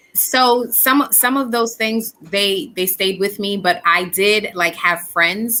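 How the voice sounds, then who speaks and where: This woman has a bright, sharp tone and ordinary pitch variation. She talks at a fairly slow pace. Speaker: spoken word artist. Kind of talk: interview answer.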